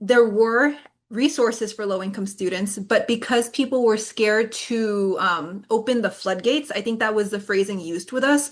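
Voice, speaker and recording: A woman has an unremarkable speaking voice with a fairly high pitch and ordinary pitch variation. She talks at a moderate pace against a quiet background. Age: 30s. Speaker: psychology doctoral student and presenter. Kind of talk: webinar presentation.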